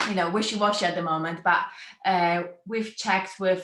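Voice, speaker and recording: Her accent is non-native. The voice belongs to a woman. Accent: foreign accent, noticeable. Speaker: brand photographer. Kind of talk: interview.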